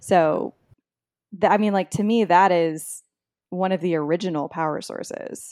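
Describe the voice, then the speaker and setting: A woman with an American accent at a fairly low pitch, moderate pace and fairly even intonation, with long, frequent pauses, in a very clean recording with a silent background. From Texas, near the Mexican border. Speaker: author. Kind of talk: interview.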